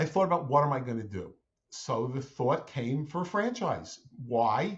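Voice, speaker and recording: At a moderate pace, a man talks in a fairly high, somewhat breathy voice with very wide pitch swings. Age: 60s. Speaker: franchise owner, former family business owner. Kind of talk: interview podcast.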